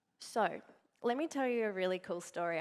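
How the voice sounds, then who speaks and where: A woman speaks with an Australian accent in an animated tone. Her intonation is lively. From Australia, to Uruguayan parents. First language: Spanish. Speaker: motivational speaker, network marketing partner. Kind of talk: conference keynote speech. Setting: stage with audience. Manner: animated storytelling.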